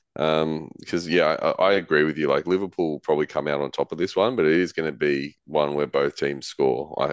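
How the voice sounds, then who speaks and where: Very deep and low, a man's voice with an Australian accent moves at a moderate pace with fairly even intonation, the sound dry and close with no echo. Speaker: fantasy football podcast co-host. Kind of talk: casual chat.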